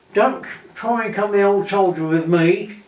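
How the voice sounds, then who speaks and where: Over noticeable background noise, the speaker goes at a fairly slow pace with ordinary pitch variation. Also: man. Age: 80s+. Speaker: war veteran. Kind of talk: interview answer.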